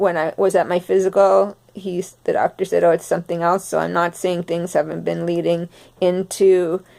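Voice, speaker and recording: This is a woman speaking at a medium pitch. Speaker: vlogger sharing health experience. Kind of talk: personal testimony. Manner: slowed speech; halting, many fillers.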